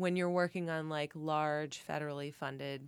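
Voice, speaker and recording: A woman with a Cincinnati accent speaks at a moderate pace in a very deep, low pitch. Her intonation stays fairly even in a very clean recording with a silent background. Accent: Cincinnati Midwestern, mild. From Cincinnati, Ohio. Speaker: church vestry member and committee member. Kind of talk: casual interview conversation. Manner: hesitant, filler-heavy, laughs often.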